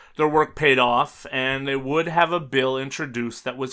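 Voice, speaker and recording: Speaking in an ordinary speaking voice, a man keeps a medium pitch, a moderate pace and fairly even intonation. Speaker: true crime podcast host. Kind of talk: scripted true-crime narration. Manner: measured, sombre, formal; steady, factual delivery.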